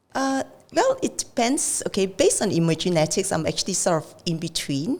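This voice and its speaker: Noticeable background noise sits behind a woman's medium-pitched voice at a fairly quick pace. Her loudness swings widely and her pitch swings very wide. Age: 60s. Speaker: financial adviser. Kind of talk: podcast interview answer.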